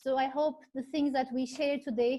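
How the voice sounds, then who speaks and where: Here a woman speaks with a Turkish accent at a high pitch. Her tone is dark and mellow. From Turkey. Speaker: industrial engineer, consultant. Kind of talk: webinar introduction.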